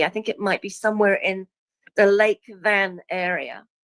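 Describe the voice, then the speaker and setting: Speaking with a New Zealand accent, a woman uses a medium pitch at a moderate pace, and the sound is dry and close with no echo. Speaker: guest speaker on past lives. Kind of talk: casual interview chat.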